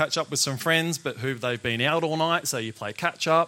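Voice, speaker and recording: Speaking at a moderate pace with an Australian accent, a man uses fairly even intonation and a bright, sharp tone. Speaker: chef and food business owner. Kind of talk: talk to live audience.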